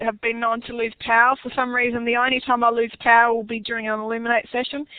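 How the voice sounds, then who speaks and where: A woman talks very fast in a high voice with an Australian accent. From Western Australia. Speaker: online workshop presenter. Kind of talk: webinar tutorial. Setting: online webinar session. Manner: casual with many fillers.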